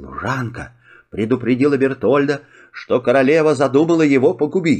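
A man's medium-pitched voice, slightly mellow with a slightly husky edge, lively intonation, a moderate pace

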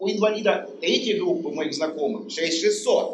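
A man's high voice with ordinary pitch variation. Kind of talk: audience question. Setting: stage with audience.

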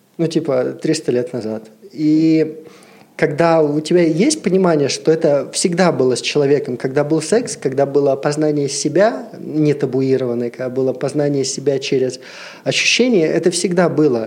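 The speaker is a man talking at a medium tempo. His intonation rises and falls normally. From Siberia, Russia. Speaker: brand ambassador and massage therapist. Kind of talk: casual chat.

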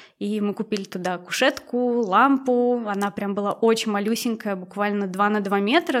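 Using a plain, everyday voice, a woman speaks at a moderate pace with ordinary pitch variation. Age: 20s. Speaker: former tattoo artist. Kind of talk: casual chat.

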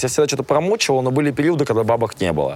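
A man speaks in an animated tone with lively intonation amid noticeable background noise. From Russia, small town. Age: 20s. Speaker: musician and blogger. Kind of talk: interview.

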